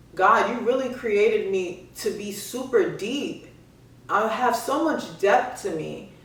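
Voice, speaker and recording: Noticeable background noise surrounds a woman who speaks very slowly at a fairly high pitch with lively intonation. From Miami. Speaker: podcast host. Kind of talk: casual monologue. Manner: varies cadence and voices; halting.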